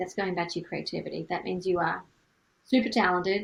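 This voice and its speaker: A woman is speaking. Her pace is very fast. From Australia. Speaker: singer-songwriter and music business coach. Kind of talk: educational talk. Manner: casual, conversational.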